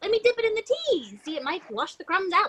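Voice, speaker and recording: A put-on character voice, squeaky and extremely high-pitched, at a fairly quick pace. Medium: stage play.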